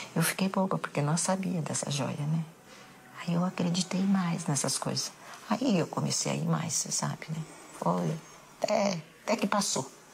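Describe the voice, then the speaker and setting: With noticeable background noise behind her, a woman talks at a moderate pace and fairly low pitch, with ordinary pitch variation and long, frequent pauses. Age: 70s. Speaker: bereaved mother. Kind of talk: documentary interview testimony.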